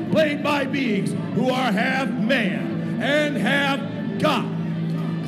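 A man's voice comes through strong background noise. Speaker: stadium announcer. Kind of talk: sports ring announcer intro, live stadium hype. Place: stadium. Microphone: handheld.

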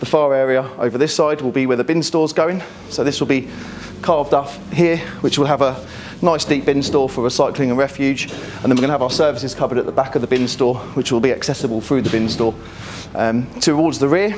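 A man talks at a very fast pace with ordinary pitch variation. Noticeable background noise runs underneath. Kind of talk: walkthrough tour explanation.

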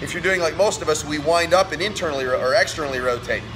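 Over music in the background, the speaker goes at a very fast pace. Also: man. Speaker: fitness coach. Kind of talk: tutorial. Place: gym. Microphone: phone near.

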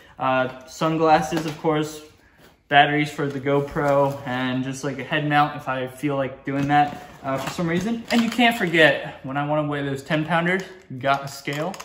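The tone is fairly bright, the pace moderate, and room echo can be heard. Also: man, fairly high pitch for a man, ordinary pitch variation.

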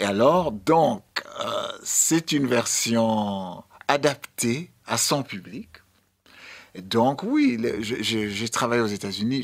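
A very slow man's voice of medium pitch with ordinary pitch variation, set against a quiet background. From Sierra Leone. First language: English (speaking French). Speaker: dancer and choreographer; guest. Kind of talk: radio interview. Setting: radio studio. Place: studio. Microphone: studio mic.

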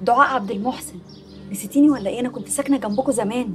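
Over clear background music, a woman speaks at a fairly quick pace in a high pitch. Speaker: actress playing a caller. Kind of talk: scripted drama dialogue, phone call. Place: home room.

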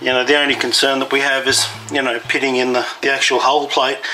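Over faint background music, a man talks at a moderate pace in a flat, monotone delivery. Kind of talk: tutorial explanation. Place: boat. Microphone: phone near.

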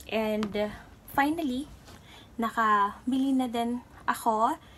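A woman speaks at a very slow pace with ordinary pitch variation. Light background noise can be heard. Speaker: vlogger. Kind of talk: casual vlog chat. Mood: excited, cheerful. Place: home room. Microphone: phone near.

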